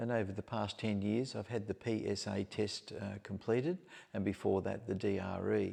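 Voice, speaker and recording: A man with a dark, mellow tone and vocal fry speaks at a moderate pace with fairly even intonation. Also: fairly low pitch for a man. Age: 70s. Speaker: prostate cancer patient sharing his story. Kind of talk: interview. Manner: measured, some hesitations.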